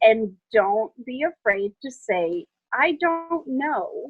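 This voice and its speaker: Her intonation rises and falls in a lively way. The woman has an American accent. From Chicago, Illinois and Wisconsin. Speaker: electrical contracting business owner. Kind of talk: interview answer.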